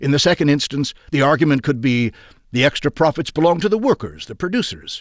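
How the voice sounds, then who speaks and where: A man has a normal speaking voice with a fairly high pitch. He goes at a fairly quick pace with lively intonation. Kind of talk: audiobook reading aloud of a 1920s industrialist's essay. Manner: formal, measured, steady narrator pace.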